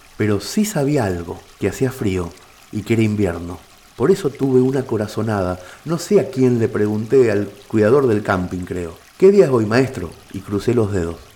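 Over noticeable background noise, a man talks with lively intonation at a fairly low pitch. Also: moderate pace. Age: 40s. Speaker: writer and narrator. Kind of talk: scripted narration.

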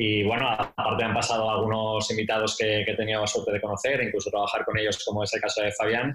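A man talks at a very fast pace in a monotone, flat intonation with very even loudness. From Spain, Zaragoza (Aragon). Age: 30s. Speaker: basketball coach. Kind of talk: interview. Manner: halting, with repeated words.

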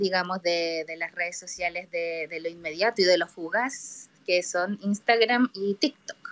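A woman speaks in a plain, everyday voice at a medium pitch and a moderate pace, with ordinary pitch variation. The sound is dry and close with no echo. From Chile. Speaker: listener participant in live audio room. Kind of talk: casual discussion.

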